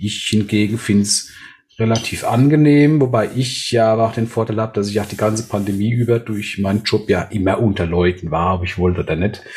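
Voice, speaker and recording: A man with a fairly low pitch talks at a fairly quick pace with ordinary pitch variation, over noticeable background noise. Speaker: podcast co-host. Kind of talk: casual chat.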